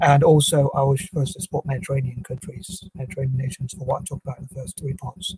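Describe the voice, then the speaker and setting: At a very fast pace with hardly any pauses, a man speaks in a fairly high pitch with a dark, mellow, somewhat breathy tone and a dry, close sound with no echo. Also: ordinary pitch variation, big swings in loudness. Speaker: video blogger. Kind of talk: monologue.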